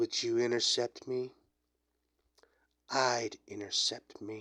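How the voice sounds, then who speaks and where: A man talks fairly slowly in a put-on character voice, his pitch sitting in the middle range. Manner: playful, cocky.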